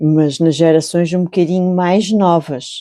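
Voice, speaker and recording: In a European Portuguese accent, the speaker has a dark, mellow tone and ordinary pitch variation on a very clean recording with a silent background. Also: woman. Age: 60s. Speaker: crochet channel host and storyteller. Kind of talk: casual reflective talk while crocheting. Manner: calm, unhurried; halting, with repetitions.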